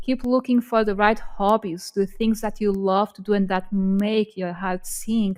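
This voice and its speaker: A woman speaks with a Portuguese accent. Her pitch is medium. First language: not English. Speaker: podcast co-host. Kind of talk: casual chat.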